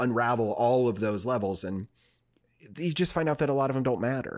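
Here is a man with an unremarkable speaking voice, pitched in the medium range. His intonation is lively, and the recording is very clean with a silent background. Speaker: podcast host. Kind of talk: casual chat.

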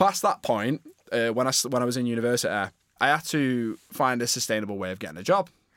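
With a Northern English accent, a man talks at a very fast pace with medium pitch and lively intonation, his sound dry and close with no echo. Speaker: podcast co-host. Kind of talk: casual chat. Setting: studio.

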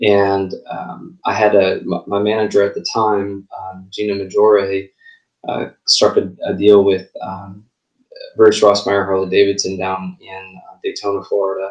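A fairly low-pitched man with a slight Southern US accent, fairly slow with long, frequent pauses, monotone, flat intonation and big swings in loudness. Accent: slight Southern US overlay. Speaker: singer-songwriter. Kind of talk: casual interview chat.

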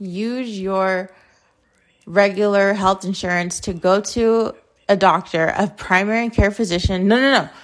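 On a very clean recording with a silent background, a woman with an American accent uses an ordinary speaking voice at a medium pitch, moderate pace and ordinary pitch variation. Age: 20s. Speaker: podcast host. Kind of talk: casual monologue.

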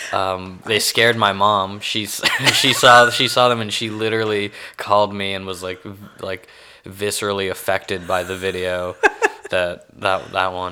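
Amid noticeable background noise, a fairly low-pitched man speaks in a monotone, flat way with a slight Texan accent. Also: moderate pace. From Houston, Texas. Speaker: comedian. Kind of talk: casual interview chat.

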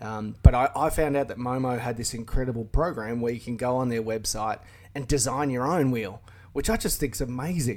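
This man speaks with an Australian accent at a medium pitch. His pace is fairly quick. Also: ordinary pitch variation. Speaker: car YouTuber. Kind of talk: casual chat. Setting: remote call.

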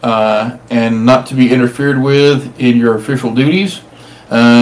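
The speaker uses a natural reading voice. The intonation is fairly even.

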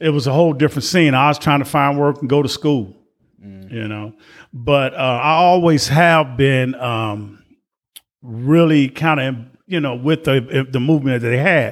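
A plain, everyday voice from a man with an American accent, fairly high in pitch with ordinary pitch variation, at a moderate pace. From Chicago, Illinois. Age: 60s. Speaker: retired warehouse worker. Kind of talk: casual interview.

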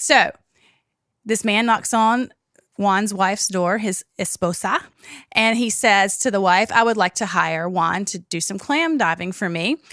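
Against a silent background on a very clean recording, a woman speaks in a bright, sharp tone at medium pitch with ordinary variation. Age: 40s. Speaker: podcast co-host. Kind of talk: storytelling; casual chat. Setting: studio.

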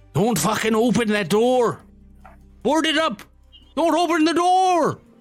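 A man does a put-on character voice at an extremely high pitch. He goes at a fairly slow pace, with faint music in the background. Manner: shouting, urgent.

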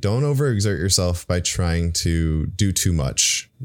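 A man with a very deep, low voice and ordinary pitch variation is heard on a very clean recording with a silent background. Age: 30s. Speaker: mental health podcast host. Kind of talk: casual monologue. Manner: halting, with stutters.

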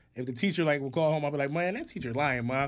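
Here a man has a plain, everyday voice and an American accent. His pitch is fairly high, with ordinary pitch variation. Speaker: podcast co-host, hospital worker. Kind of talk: casual chat.

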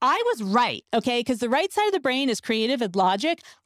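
A woman with an American accent speaks at a fairly quick pace in a high, animated voice. The recording is very clean, with a silent background and a dry, close sound with no echo. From New Jersey. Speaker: podcast host. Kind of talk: casual chat.

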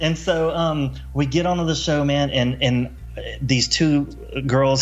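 Music plays in the background and room echo is audible as a man with an American accent talks at a fairly slow pace, his medium pitch showing ordinary variation. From US South, Mobile, Alabama. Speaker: author and construction entrepreneur. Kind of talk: casual interview, personal story. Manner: casual, animated.

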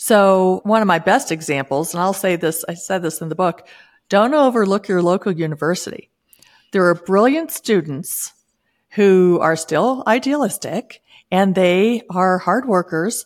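In a very clean recording with a silent background, a woman speaks at a medium pitch and a fairly slow pace, with lively intonation and a plain, everyday voice. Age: 60s. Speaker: author and former savings expert entrepreneur. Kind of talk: casual interview.

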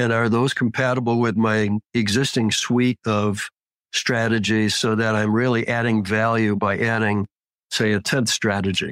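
A man speaks at a moderate pace and medium pitch in a flat monotone with very even loudness. The sound is dry and close with no echo. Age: 70s. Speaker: trader. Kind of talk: interview. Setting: live online discussion.

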